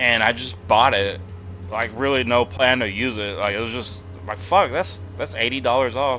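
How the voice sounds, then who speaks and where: A man talks at a medium pitch. Behind him, music is playing. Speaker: gaming streamer. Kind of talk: casual live-stream chat. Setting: live stream. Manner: halting, repeats words.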